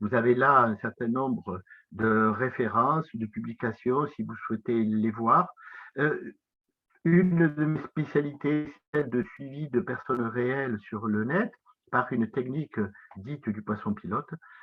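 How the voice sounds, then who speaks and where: In a southwestern French accent, a man talks at a fairly slow pace. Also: medium pitch for a man, ordinary pitch variation. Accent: south-west French. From south-west France. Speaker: professor. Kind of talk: lecture. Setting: conference talk. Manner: hesitant, many filler sounds.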